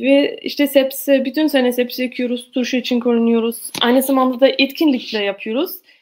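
Speaking with an Austrian accent, a woman talks at a moderate pace with hardly any pauses, her high-pitched voice keeping a fairly even intonation. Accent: Austrian German accent in Turkish. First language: German (speaking Turkish). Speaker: organic farmer. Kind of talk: presentation. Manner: halting.

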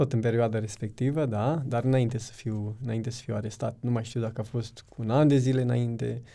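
A man speaks at a medium pitch in a dark, mellow tone, with fairly even intonation. His pace is fairly quick, with hardly any pauses. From Romania, Suceava county (Bukovina). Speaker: former prisoner sharing faith testimony. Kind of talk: testimony.

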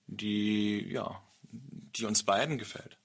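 Here a man is speaking. His voice is medium in pitch. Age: 30s. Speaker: podcast host. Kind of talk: casual chat.

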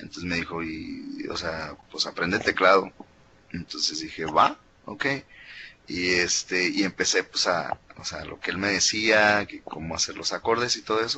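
Noticeable background noise lies beneath speech delivered fairly slowly. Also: man. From Mexico. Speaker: musician and composer. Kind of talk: casual interview chat. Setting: remote from home.

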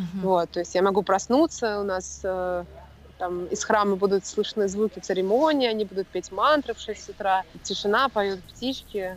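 A woman speaks at a moderate pace with medium pitch and fairly even intonation. It is an ordinary speaking voice. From Russia. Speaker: entrepreneur, former consultant. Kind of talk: casual chat. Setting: video call.

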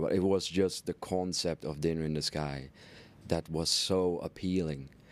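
A man speaks with a Dutch accent. The recording is very clean, with a silent background. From Netherlands. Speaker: entrepreneur and philanthropist. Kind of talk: interview.

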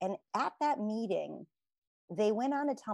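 A woman with an American accent talks in an ordinary speaking voice with ordinary pitch variation. The recording is very clean and dry, close-miked with no echo and a silent background. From United States. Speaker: entrepreneur and business advisor. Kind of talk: interview.

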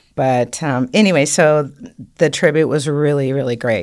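Animated female voice at a moderate pace with ordinary pitch variation, on a very clean recording with a silent background. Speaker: singer and cancer survivor advocate. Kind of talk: casual interview chat. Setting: studio. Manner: exuberant, animated.

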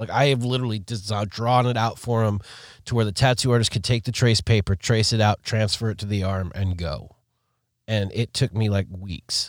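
A man with a normal speaking voice talks at a moderate pace, fairly low in pitch and with fairly even intonation. The recording is very clean, with a silent background. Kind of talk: casual banter, two-host podcast chat. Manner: laid-back, rambling, laughing.

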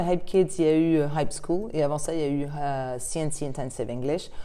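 A woman's very deep, low voice carries a dark, mellow tone and ordinary pitch variation. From France and England. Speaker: start-up cofounder and English teacher. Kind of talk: interview.

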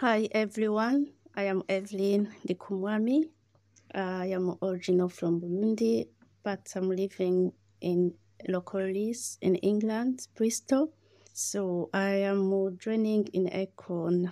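In a very clean recording with a silent background, a woman speaks fairly slowly at medium pitch, with ordinary pitch variation and a dark, mellow tone. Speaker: community member and campaigner. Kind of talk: casual interview. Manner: halting, non-native grammar.

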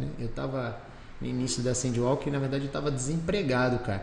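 A man races along at a very fast pace and medium pitch while noticeable background noise plays behind him. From Rio de Janeiro state, Brazil; moved to Valinhos (São Paulo) at 15. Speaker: entrepreneur, business founder. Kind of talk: casual interview. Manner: animated.

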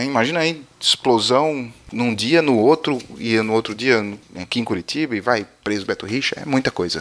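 A man's medium-pitched voice, fairly slow, with lively intonation, in a very clean recording with a silent background. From Paraíba, northeastern Brazil. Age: 30s. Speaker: podcast host. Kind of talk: news podcast, casual monologue. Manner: animated.

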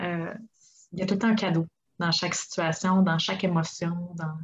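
This woman speaks in a Quebec accent at a medium pitch. Her voice is somewhat breathy, with fairly even intonation. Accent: Québécois French. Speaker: life coach. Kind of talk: interview.

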